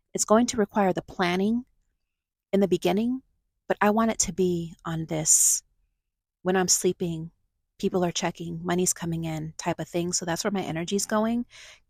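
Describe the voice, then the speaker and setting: A woman of medium pitch at a moderate pace, with long, frequent pauses and fairly even intonation, on a very clean recording with a silent background and a dry, close sound with no echo. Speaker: vlogger living in a van. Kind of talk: casual vlog monologue.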